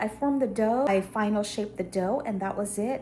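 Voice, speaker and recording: Moderate pace with noticeable background noise. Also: woman. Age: 50s. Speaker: lifestyle vlogger. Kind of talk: casual vlog chat.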